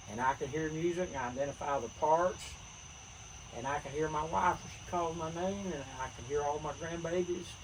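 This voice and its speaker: A man with a western North Carolina accent speaks at a moderate pace and a fairly high pitch, with ordinary pitch variation. His loudness swings widely, and there is noticeable background noise. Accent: Southern US (western North Carolina). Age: 70s. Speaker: retired teacher and army veteran. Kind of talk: casual chat.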